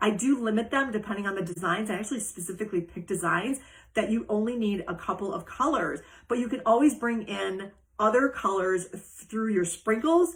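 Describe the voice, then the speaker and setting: Her voice is somewhat breathy and fairly high for a woman. She talks at a fairly quick pace with lively intonation. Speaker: cookie decorating business owner and live show host. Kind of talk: live stream Q&A. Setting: Facebook live stream. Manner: fast.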